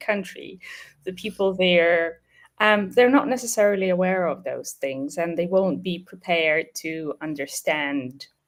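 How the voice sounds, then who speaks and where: A woman speaks in a Ukrainian accent. Her intonation is lively and her pace fairly slow. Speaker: webinar host, business operations head. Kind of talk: webinar discussion.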